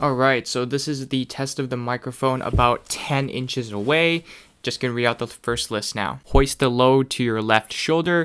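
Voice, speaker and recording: A bright, sharp tone with ordinary pitch variation and hardly any pauses. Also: man. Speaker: tech YouTuber reviewing microphones. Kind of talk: product review. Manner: clear.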